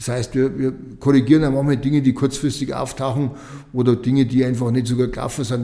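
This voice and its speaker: Over noticeable background noise, a man talks very fast with monotone, flat intonation. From Lower Bavaria. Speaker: state politician. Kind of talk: interview.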